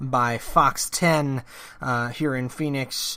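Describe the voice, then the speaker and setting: Here a man speaks with an American accent in a bright, sharp tone. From central New Jersey. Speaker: podcast host. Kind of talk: political talk podcast monologue. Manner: casual, with many fillers.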